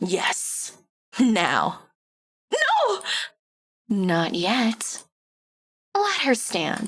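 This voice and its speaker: Doing a put-on character voice, a woman speaks in a fairly high pitch at a very slow pace. Long, frequent pauses break up her speech. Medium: game stream.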